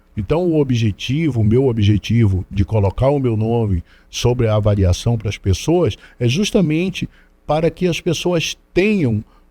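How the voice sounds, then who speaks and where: A man's medium-pitched, dark and mellow voice at a fairly slow pace, with very wide pitch swings and a dry, close sound with no echo. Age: 60s. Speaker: DJ and council candidate. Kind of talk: interview. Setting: studio. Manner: halting with repetitions.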